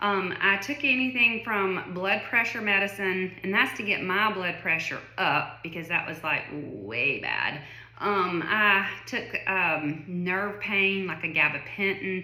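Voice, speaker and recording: In a Southern US accent, a woman of medium pitch speaks at a very slow pace with ordinary pitch variation, amid noticeable background noise and audible room echo. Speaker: vlogger sharing illness experience. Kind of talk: personal testimony monologue. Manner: casual, conversational with many fillers.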